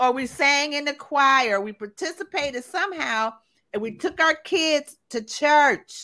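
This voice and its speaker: Speaking slowly-ish in a raised, projected voice, a woman uses lively intonation and a high pitch. The recording is very clean, with a silent background. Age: 60s. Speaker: podcast host. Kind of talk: interview; guest introduction. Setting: live stream.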